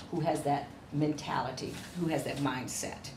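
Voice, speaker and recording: In an American accent, a woman speaks with a very deep, low pitch. Audible room echo and noticeable background noise are present. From Cleveland, Ohio, US Midwest. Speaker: education professor. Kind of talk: lecture. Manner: animated.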